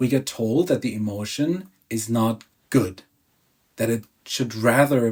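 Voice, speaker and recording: A man with a German accent speaks at a medium pitch. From Germany. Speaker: emotional release coach. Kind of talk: self-help talk.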